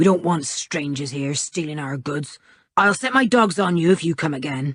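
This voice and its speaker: This is a put-on character voice at a middle pitch. It growls. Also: moderate pace. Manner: threatening.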